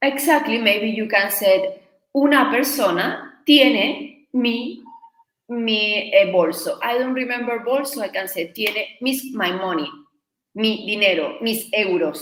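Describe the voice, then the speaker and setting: Speaking fairly slowly in a Spanish accent, a woman uses lively intonation at a fairly high pitch. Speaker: Spanish teacher. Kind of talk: live online lesson.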